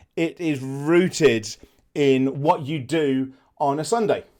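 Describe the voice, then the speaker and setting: The speaker has an English accent and talks at a very slow pace with ordinary pitch variation. The recording is very clean, with a silent background. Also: man. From England. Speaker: travel vlogger. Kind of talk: casual explainer to camera.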